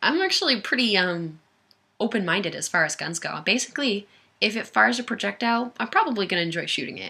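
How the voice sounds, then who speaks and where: A woman's medium-pitched voice with vocal fry, animated in tone and lively in intonation, at a very fast pace. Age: 20s. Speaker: firearms enthusiast video creator. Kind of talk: casual livestream Q&A. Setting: webcam livestream.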